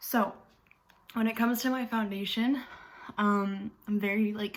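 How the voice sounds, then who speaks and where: A woman speaks at a fairly slow pace. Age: 20s. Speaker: beauty vlogger. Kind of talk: tutorial. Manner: casual, filler-heavy.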